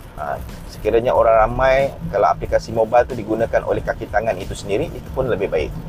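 Talking very fast, a man is heard against noticeable noise in the background. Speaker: podcast host, IoT technologist. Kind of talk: solo podcast monologue. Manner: hesitant, many fillers.

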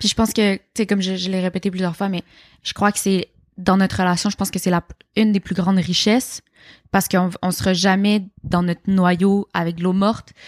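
On a very clean recording with a silent background, a woman with a Quebec accent speaks at a medium pitch in a monotone, flat intonation. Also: moderate pace. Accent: Québécois. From Quebec, Montreal (Rosemont). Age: 20s. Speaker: interviewee on a dating podcast. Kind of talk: casual interview chat.

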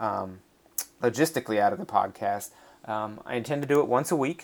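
Lively intonation from a man at a medium pitch and a fairly quick pace. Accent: American. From North Carolina, near Raleigh. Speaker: podcast host, lacrosse stats website founder. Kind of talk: casual solo podcast monologue. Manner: halting, many fillers.

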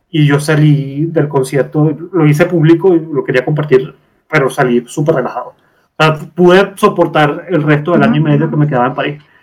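Talking at a fairly quick pace, a man with an eastern Venezuelan accent sounds somewhat breathy, his fairly high pitch held in fairly even intonation. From eastern Venezuela, Puerto La Cruz. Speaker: guest. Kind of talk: casual chat. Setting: video call. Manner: strong intonation inflections.

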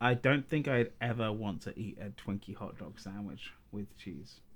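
A man speaks with a southern English accent. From southern England. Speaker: podcast co-host and YouTuber. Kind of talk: casual chat.

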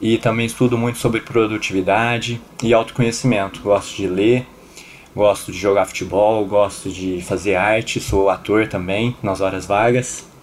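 A man with a normal speaking voice talks at a fairly slow pace, his fairly low pitch carrying fairly even intonation. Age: 20s. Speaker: podcast host. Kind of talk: casual chat.

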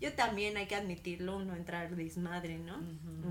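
Audible room echo surrounds a woman with a Mexican accent speaking at a moderate pace. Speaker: podcast co-host. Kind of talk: casual chat.

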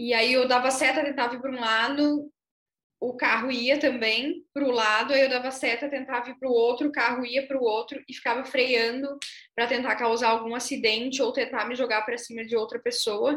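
A woman's high-pitched voice, fairly quick and monotone, with flat intonation. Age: 20s. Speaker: city councillor. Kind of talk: panel discussion.

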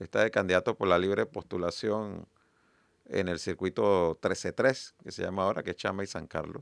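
This man has a very deep, low voice with ordinary pitch variation and a moderate pace. The recording is very clean, with a silent background and a dry, close sound with no echo. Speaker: party leader and presidential hopeful. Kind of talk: radio interview.

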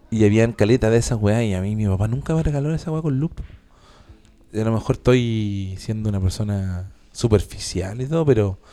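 On a very clean recording with a silent background, a man with a Chilean accent talks at a fairly quick pace in a fairly low pitch, with a dark, mellow tone and ordinary pitch variation. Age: 30s. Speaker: podcast host, radio presenter. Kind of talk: casual chat.

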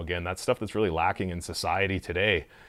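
A voice with a Canadian Prairies accent comes through on a very clean recording with a silent background. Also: man. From Saskatchewan, Canada. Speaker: brewery owner. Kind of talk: casual interview. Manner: animated.

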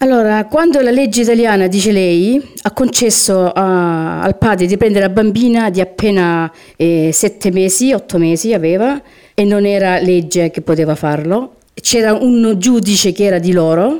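At a moderate pace, a woman speaks with a dark, mellow tone, medium pitch, ordinary pitch variation and very even loudness. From Apulia, Lecce province. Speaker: interviewee recounting exorcism. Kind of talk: testimony. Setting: remote call.

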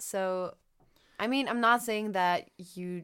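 Very clean and silent in the background, this recording features a woman. She speaks at a medium pitch in a German accent. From Germany. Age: young. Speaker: former au pair. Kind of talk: casual chat.

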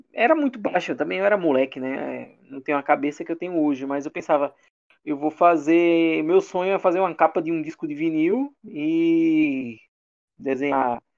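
A man speaks in a normal speaking voice, fairly high in pitch, at a moderate pace. His pitch varies in an ordinary way, and the background is quiet. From Brazil, interior of Alagoas. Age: 30s. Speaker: illustrator. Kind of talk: casual interview chat.

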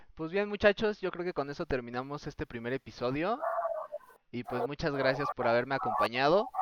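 Amid noticeable background noise, a man speaks at a fairly quick pace and fairly high pitch with lively intonation, the sound dry and close with no echo. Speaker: podcast host. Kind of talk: casual chat. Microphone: own voice recorded too quiet.

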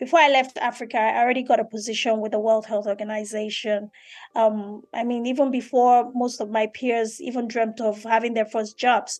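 A woman speaks at a fairly quick pace in a fairly high voice. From Nigeria. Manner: enthusiastic.

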